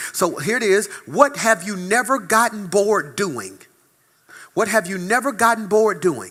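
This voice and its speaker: In a very clean recording with a silent background, a man projects a raised, high-pitched voice with a bright, sharp, animated tone and ordinary pitch variation. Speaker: pastor. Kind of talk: sermon. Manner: fast.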